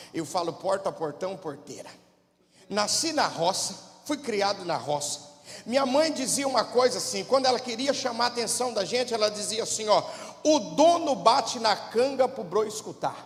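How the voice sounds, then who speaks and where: The speaker has a São Paulo interior accent, lively intonation and a moderate pace. Noticeable background noise runs underneath. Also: man, high pitch for a man. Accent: rural São Paulo interior accent (caipira). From interior of São Paulo state, Brazil. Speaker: pastor. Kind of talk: sermon.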